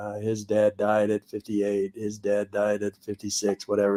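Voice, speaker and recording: Recorded with a dry, close sound and no echo, a man speaks at a fairly low pitch with an American accent. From Minnesota, Minneapolis. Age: 60s. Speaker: former football player. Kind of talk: interview. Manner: halting, many fillers and repeats.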